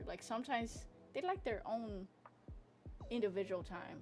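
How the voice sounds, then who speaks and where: A woman's voice with vocal fry. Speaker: streamer and artist. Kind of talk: casual chat. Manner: animated; loud.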